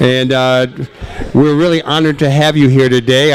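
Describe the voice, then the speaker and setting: At a moderate pace, a man with an American accent speaks over noticeable background noise. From Connecticut. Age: old. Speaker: radio show host. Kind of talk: casual interview chat.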